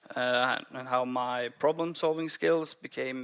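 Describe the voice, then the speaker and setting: Speaking in a Norwegian accent, a man uses a medium pitch with ordinary pitch variation and a fairly slow pace. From Norway, Bergen. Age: 20s. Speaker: software developer and stand-up comedian. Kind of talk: conference talk. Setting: stage with audience. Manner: halting, many repeated words.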